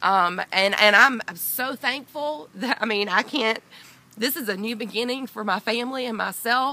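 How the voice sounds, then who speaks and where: Over noticeable background noise, a woman with a fairly high pitch talks with a Southern US accent. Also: ordinary pitch variation, moderate pace. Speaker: dog owner, burglary victim. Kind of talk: interview testimony. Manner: loud; halting.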